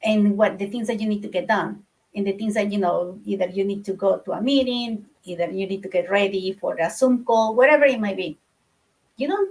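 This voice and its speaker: A somewhat breathy woman of medium pitch, fairly quick in pace, with ordinary pitch variation. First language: not English. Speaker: book club participant. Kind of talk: casual discussion. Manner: halting.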